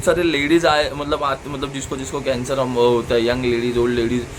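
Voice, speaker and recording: Audible room echo and noticeable background noise are both present in this clip. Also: man. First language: Marathi (speaking Hindi). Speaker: vlogger. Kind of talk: casual interview with his mother. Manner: halting, many fillers.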